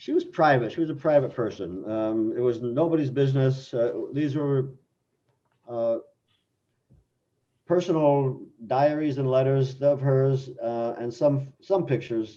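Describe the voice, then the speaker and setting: Using ordinary pitch variation, a man with an American accent and a medium pitch speaks at a fairly slow pace with a dark, mellow tone and long, frequent pauses. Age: 70s. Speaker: writer and voice actor. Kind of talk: casual interview.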